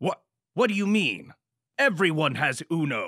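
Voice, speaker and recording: This man uses a cartoonish character voice, high-pitched for a man. He keeps a moderate pace. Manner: angry, shouting.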